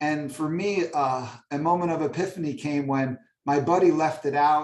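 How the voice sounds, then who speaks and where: A man speaks in a fairly high pitch with ordinary pitch variation. It is a normal speaking voice. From New York area. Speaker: stand-up comedian, orthodontist and author. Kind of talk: interview. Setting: video call.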